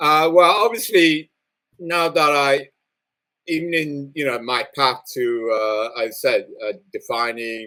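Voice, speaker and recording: This man speaks at a fairly slow pace with a British accent. His intonation is lively and his tone bright and sharp. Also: fairly high pitch for a man. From England (Liverpool), born in Singapore. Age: 60s. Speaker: nuclear physicist. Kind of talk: interview. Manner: hesitant, many fillers.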